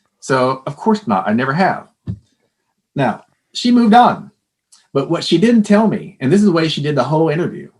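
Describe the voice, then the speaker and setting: A man with an American accent, fairly high in pitch, very wide pitch swings, moderate pace. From Texas. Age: 60s. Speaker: former psychology professor. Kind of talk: interview.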